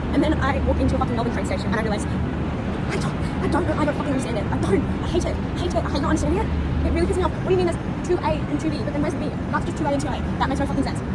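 Over crowd noise in the background, a woman talks at a very fast pace, the sound dry with no echo. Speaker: travel vlogger. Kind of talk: casual vlog chat. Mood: frustrated ranting. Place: station. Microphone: phone near.

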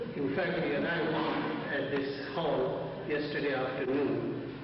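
A man speaks with fairly even intonation amid strong room echo and noticeable background noise. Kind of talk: formal announcements. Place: hall. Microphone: camera far.

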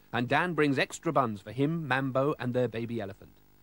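The reading voice is unforced, with pitch varying in an ordinary way.

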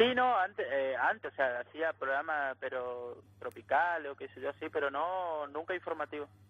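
A man talks at a moderate pace in a normal speaking voice, pitched fairly high. His intonation is lively. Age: 20s. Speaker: rural worker union representative. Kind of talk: phone interview.

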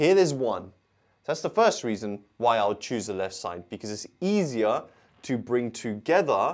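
Very wide pitch swings mark speech at a fairly slow pace over a quiet background. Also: man. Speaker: maths tutor. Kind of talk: tutorial. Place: studio. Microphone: lapel.

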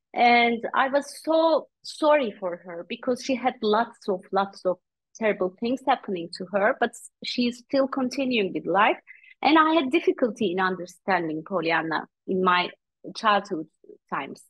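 A woman in a Turkish accent, fairly high in pitch, with very wide pitch swings, dry sound with no echo and a quiet background. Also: moderate pace. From Turkey. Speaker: author and coach; guest. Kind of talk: interview; interview answer. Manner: hesitant, frequent fillers. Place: home room. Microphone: video call.

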